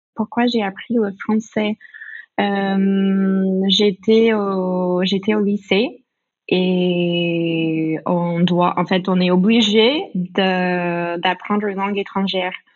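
A woman with an American accent and medium pitch speaks at a very slow pace with fairly even intonation. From United States. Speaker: business owner, language training. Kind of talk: casual interview. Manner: hesitant, many fillers.

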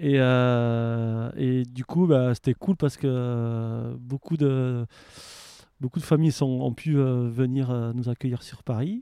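A man with a southern French accent speaks very slowly at medium pitch, in a dark, mellow tone with fairly even intonation. The sound is dry and close with no echo, over a quiet background. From France, Aveyron. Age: 40s. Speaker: waste prevention worker and traveller. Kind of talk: casual interview. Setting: outdoors in a garden.

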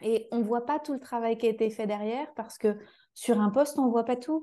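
A woman with a fairly high pitch and a dark, mellow tone speaks fairly quickly with ordinary pitch variation over a quiet background. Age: 30s. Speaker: coach and trainer for coaches. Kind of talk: interview.

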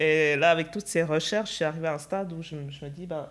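A woman speaks at a moderate pace with fairly even intonation, and the recording is very clean with a silent background. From Switzerland. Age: 30s. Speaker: integration specialist, festival organiser. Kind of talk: casual chat.

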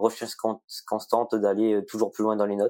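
A man's dark, mellow voice at a medium pitch. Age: 20s. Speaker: computer science student. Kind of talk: interview.

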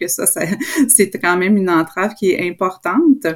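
A plain, everyday voice from a woman, delivered at a moderate pace. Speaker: professor. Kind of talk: interview.

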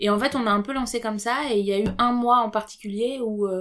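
With a medium pitch, a woman talks in monotone, flat intonation. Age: 30s. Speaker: podcast co-host. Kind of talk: casual chat.

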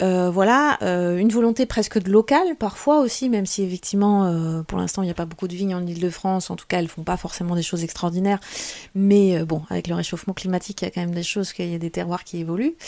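A woman talks at a very fast pace. Her voice sits at medium pitch with a dark, mellow tone. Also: ordinary pitch variation. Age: 40s. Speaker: wine merchant and sommelier. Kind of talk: interview conversation.

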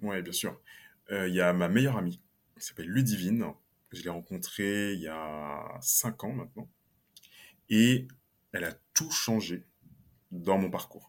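With long, frequent pauses and a fairly slow pace, a man with a fairly low pitch talks with ordinary pitch variation and big swings in loudness. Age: 20s. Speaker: solopreneur and LinkedIn coach. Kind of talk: podcast interview.

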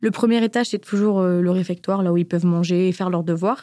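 Dark and mellow in tone, a woman talks at a fairly quick pace in a dry, close sound with no echo. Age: 20s. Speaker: business school student. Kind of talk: personal testimony.

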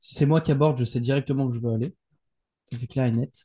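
A man talks at a fairly quick clip in a medium pitch, his dark, mellow tone somewhat breathy and his intonation fairly even. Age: 20s. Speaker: entrepreneur. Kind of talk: casual chat.

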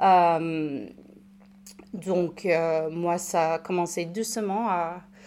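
Her pitch fairly low, a woman speaks in a dark, mellow tone. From United States. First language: English (speaking French). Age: 30s. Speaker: recovered alcoholic, patient expert. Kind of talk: testimony. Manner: halting, repeats words.

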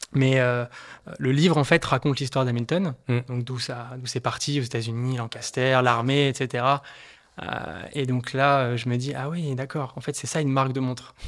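A man at medium pitch speaks at a fairly slow pace with fairly even intonation. The recording is very clean, with a silent background. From France, Haute-Savoie. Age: 20s. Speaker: watch collector. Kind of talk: casual chat. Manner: halting, many repetitions and fillers.

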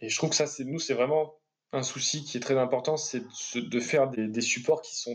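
Medium pitch from a man at a moderate pace, with ordinary pitch variation. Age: 30s. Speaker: urban planner and geographer. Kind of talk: interview. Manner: halting.

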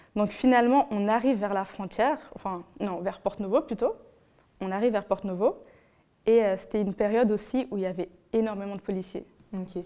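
At a fairly quick pace broken by long, frequent pauses, a woman of medium pitch speaks in a dark, mellow tone. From Benin. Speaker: guest storyteller. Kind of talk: personal anecdote in casual interview.

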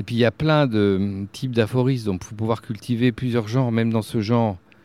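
A man with a medium pitch speaks moderately fast, his pitch varying in an ordinary way. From France, Berry (Bourges). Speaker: festival director and writer. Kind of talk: casual chat. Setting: outdoors.

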